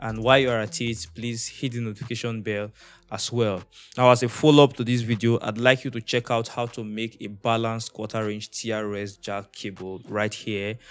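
Moderate in pace, a man delivers his words. Fairly even intonation marks his speech. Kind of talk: tutorial. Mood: friendly, relaxed. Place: home room. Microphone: studio mic.

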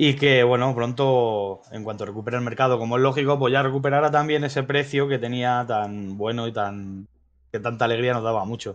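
Fairly quick, fairly evenly intoned speech from a man at a medium pitch. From Madrid, Spain. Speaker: crypto streaming show co-host. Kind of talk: news reading; casual live stream chat. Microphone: video call.

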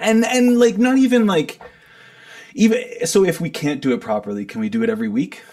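A man speaks at a fairly quick pace in a high voice with ordinary pitch variation, over noticeable background noise. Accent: Canadian. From Ontario, Canada (Kitchener). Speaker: rock musician, band frontman. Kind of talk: casual interview chat.

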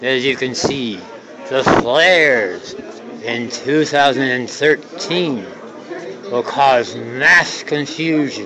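A man at a very slow pace, ordinary pitch variation, crowd noise in the background. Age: 50s. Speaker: amateur videographer touring an observatory. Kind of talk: casual narration reading exhibit text. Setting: indoors at an observatory exhibit. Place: hall. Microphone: cell phone camera microphone; phone near.

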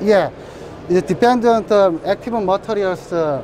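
Speaking with a Korean accent, a man with a high pitch uses ordinary pitch variation at a fairly slow pace, the sound dry with no echo and noticeable background noise behind him. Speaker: company representative at trade show. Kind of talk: trade show interview. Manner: halting. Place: hall. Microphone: lapel.

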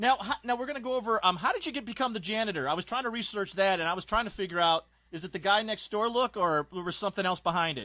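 With a raised, projected voice, a man talks at a very fast pace in a high pitch, his tone bright and sharp and his intonation lively over a quiet background. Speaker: sports interviewer. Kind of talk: interview. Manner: casual.

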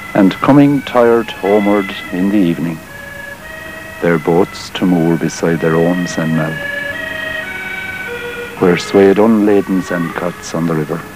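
With music in the background, a man talks at a fairly slow pace in a very deep, low pitch. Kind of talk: poetry reading.

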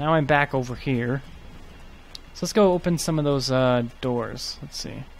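Soft-spoken and fairly high in pitch, a man talks at a fairly slow pace with ordinary pitch variation and long, frequent pauses. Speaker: gaming YouTuber. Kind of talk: gameplay commentary. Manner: soft-spoken, trails off.

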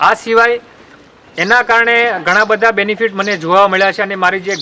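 A man speaks in a raised, projected voice against noticeable background noise. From Gujarat, Botad district. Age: young. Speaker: dairy farmer. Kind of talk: interview testimony.

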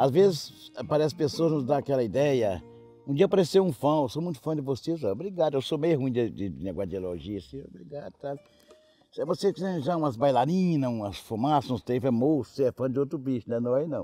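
Faint music plays in the background as a man speaks in a rural Minas Gerais accent. The sound is dry with no echo. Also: fairly quick pace. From Minas Gerais, Brazil. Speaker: country music singer. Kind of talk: interview answer. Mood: humorous, warm storytelling. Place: garden.

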